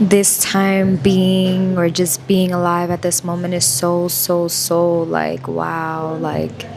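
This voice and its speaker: Quiet and very slow, a woman speaks in a fairly low pitch with fairly even intonation while music plays in the background. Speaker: spiritual vlogger. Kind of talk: casual vlog monologue. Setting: coffee shop. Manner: quiet, low voice; halting, many fillers.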